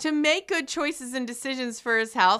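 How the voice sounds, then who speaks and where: In a very clean recording with a silent background, a woman speaks in a raised, projected voice, her high pitch and bright, sharp tone carrying an animated delivery. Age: 40s. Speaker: radio host. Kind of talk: motivational radio talk.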